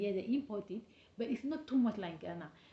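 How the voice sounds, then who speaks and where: A woman talks fairly quickly in a dark, mellow, somewhat breathy tone. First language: not English. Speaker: travel and business vlogger. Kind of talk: casual vlog talk. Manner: halting.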